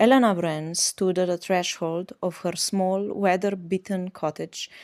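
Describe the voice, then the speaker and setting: A woman with an Eastern European accent at a medium pitch and fairly slow pace, her fairly even intonation in a dry, close sound with no echo on a very clean recording with a silent background. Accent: Slavic. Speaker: audiobook narrator. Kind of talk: audiobook reading.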